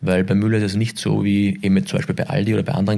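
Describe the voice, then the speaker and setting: Very fast, fairly even speech from a man pitched fairly low. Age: 40s. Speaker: retail executive. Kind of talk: interview. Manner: halting.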